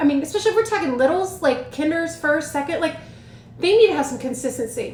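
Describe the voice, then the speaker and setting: A woman's voice amid noticeable background noise. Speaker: education consultant and teacher mentor. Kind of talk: live stream advice talk. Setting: livestream on social media. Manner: fast.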